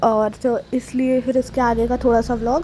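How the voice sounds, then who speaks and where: A woman's fairly high voice comes through with noticeable noise in the background. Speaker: vlogger. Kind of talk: vlog voice-over narration. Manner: casual, chatty.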